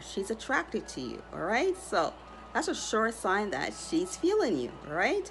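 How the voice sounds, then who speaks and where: Against light background noise, a woman speaks at a moderate pace with very wide pitch swings. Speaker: astrology content creator. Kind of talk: casual vlog chat. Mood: cheerful, smiling. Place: home room. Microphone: phone near.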